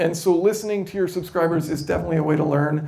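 A man speaks at a very fast pace with an American accent. His pitch sits fairly high and moves with ordinary variation. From United States. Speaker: YouTube educator; presenter. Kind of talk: conference talk. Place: hall.

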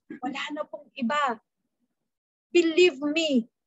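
At a very slow pace, a woman speaks with ordinary pitch variation, the sound dry with no echo and the background quiet. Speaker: preacher. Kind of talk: sermon. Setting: video call. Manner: formal; earnest. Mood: earnest, personal testimony. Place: home room. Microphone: webcam.

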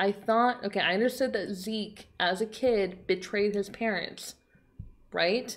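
A woman's speech moves at a fairly slow pace, with ordinary pitch variation. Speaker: anime reaction YouTuber. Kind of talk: casual vlog chat. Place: home room.

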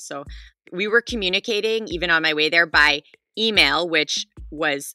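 Music plays in the background as a woman speaks with a Canadian accent. The sound is dry and close, with no echo. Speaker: storyteller. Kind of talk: personal story told in interview.

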